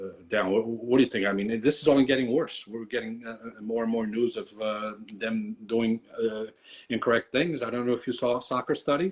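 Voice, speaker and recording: A man talks at a moderate pace with a medium pitch. His pitch varies in an ordinary way. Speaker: soccer card collector and channel host. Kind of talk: casual chat. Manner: halting, many fillers and repetitions.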